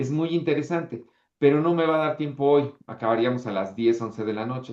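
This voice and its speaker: A man with a Mexican accent talks at a moderate pace in a fairly high pitch, with ordinary pitch variation. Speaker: history teacher. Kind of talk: online class lecture. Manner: animated.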